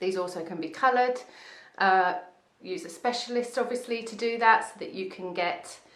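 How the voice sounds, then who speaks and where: With audible room echo, a woman talks at a fairly high pitch, her intonation lively and her loudness swinging widely. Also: moderate pace. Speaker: wig salon owner reviewing wigs. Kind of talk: product review video. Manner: casual, with many fillers.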